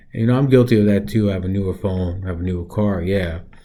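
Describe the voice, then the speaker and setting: Somewhat breathy and very deep and low, a man's dark, mellow voice moves at a fairly quick pace with ordinary pitch variation. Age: 40s. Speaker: reaction video host. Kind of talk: casual commentary. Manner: casual, with fillers.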